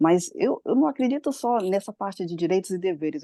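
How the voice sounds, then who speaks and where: The tone is dark and mellow, with lively intonation at a moderate pace. The sound is dry and close with no echo, against a quiet background. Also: woman. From Brazil. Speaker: study group participant. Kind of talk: group discussion contribution. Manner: halting.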